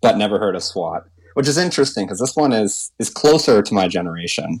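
A fairly low-pitched man's normal speaking voice with a Canadian accent, lively intonation and a fairly quick pace, on a very clean recording with a silent background. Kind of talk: casual chat.

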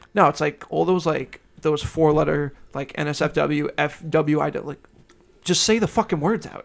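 A man with a Long Island accent, fairly high pitch, vocal fry, ordinary pitch variation and a fairly slow pace. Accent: New York (Long Island). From Long Island, New York. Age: 20s. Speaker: podcast co-host. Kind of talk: casual chat. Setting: studio.

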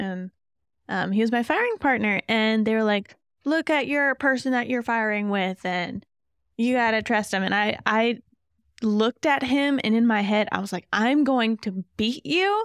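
A woman with an American accent and an ordinary speaking voice, fairly high in pitch, at a moderate pace with ordinary pitch variation, in a very clean recording with a silent background and a dry, close sound with no echo. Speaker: guest, army reservist and parent. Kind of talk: casual interview chat.

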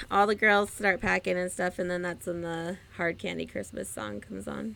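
On a very clean recording with a silent background, a woman with a plain, everyday voice speaks at medium pitch and a moderate pace, her intonation lively and her loudness swinging widely. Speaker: podcast co-host. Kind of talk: casual banter chat.

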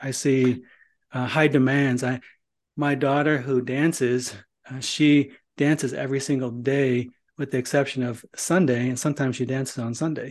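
Using monotone, flat intonation, a man with an American accent speaks at a moderate pace and medium pitch. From northern Indiana. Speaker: podcast host. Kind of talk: podcast interview.

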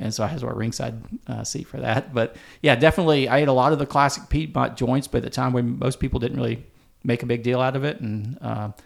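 Speaking at a very fast pace with an American accent, a man uses a medium pitch, fairly even intonation and vocal fry on a very clean recording with a silent background. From US South, upstate South Carolina. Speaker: barbecue writer and culinary historian. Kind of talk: casual interview. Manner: halting.

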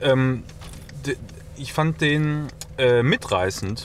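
A man of medium pitch speaks with lively intonation against noticeable background noise. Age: 30s. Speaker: podcast co-host. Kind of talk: casual chat. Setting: in a car.

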